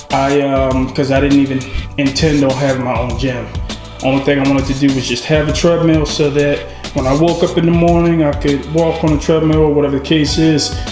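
Clear music plays behind a man who speaks at a fairly quick pace with monotone, flat intonation and very even loudness, in audible room echo. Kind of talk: casual vlog chat. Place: garage. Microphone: phone near.

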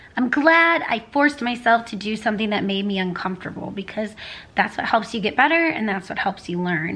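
A woman's fairly high, fairly bright voice at a fairly quick pace, with lively intonation.

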